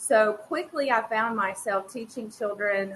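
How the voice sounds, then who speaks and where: Speaking at a fairly slow pace, a woman with an American accent has a fairly high pitch and ordinary pitch variation. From North Carolina, US. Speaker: former teacher, education advocate. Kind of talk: conference presentation. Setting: online presentation with screen share. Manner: halting.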